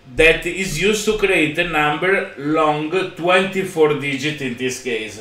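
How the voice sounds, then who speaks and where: A man with a fairly high pitch is heard amid audible room echo. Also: ordinary pitch variation, fairly slow pace. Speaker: podcast co-host, blockchain developer; podcast co-host. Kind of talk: technical demo chat. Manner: halting, many fillers. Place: home room. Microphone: earbuds.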